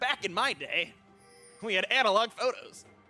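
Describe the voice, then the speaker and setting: Over faint background music, a man uses a put-on character voice at an extremely high pitch. He projects it loudly at a moderate pace. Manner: put-on, not well done.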